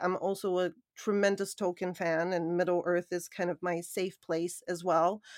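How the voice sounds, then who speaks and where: A woman with an ordinary speaking voice at medium pitch, moderate pace and fairly even intonation, on a very clean recording with a silent background. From Canada. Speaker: brand and narrative expert, executive coach, investor. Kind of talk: interview conversation.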